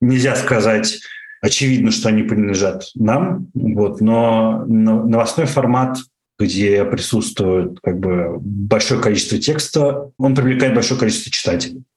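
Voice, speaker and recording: In a room with audible echo, a man speaks at a medium pitch and fairly slow pace, somewhat breathy, with ordinary pitch variation and very even loudness. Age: 30s. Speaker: internet entrepreneur. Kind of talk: interview. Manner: hesitant, many fillers.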